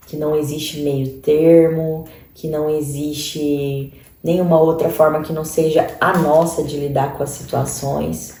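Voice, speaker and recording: A woman with a strong Cuiabá accent talks very slowly in a very deep, low pitch and flat monotone, with audible room echo and noticeable background noise. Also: big swings in loudness. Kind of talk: sermon-style online teaching.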